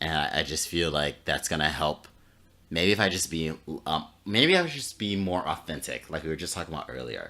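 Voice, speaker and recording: A man with a very deep, low pitch and an American accent, bright and sharp in tone with vocal fry, at a fairly quick pace and with ordinary pitch variation. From Florida. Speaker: podcast co-host. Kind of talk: casual chat. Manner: halting.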